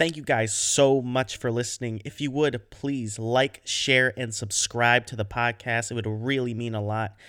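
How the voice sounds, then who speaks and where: Against a silent background in a very clean recording, a man speaks at a fairly slow pace. His tone is bright and sharp, and his intonation fairly even. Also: medium pitch for a man. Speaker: podcast host. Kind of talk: casual chat.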